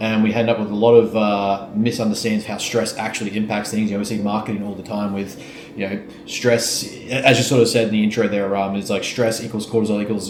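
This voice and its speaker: A man's fairly low voice with an Australian accent, very fast and monotone, flat in intonation, with audible room echo and noticeable background noise. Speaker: fitness coach and business owner. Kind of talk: podcast conversation.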